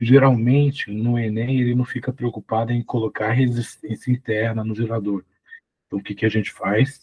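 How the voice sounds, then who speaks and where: In a dry, close sound with no echo, a man speaks at a medium pitch and moderate pace, somewhat breathy and in a flat monotone. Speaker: physics teacher. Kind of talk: tutorial. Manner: casual, conversational.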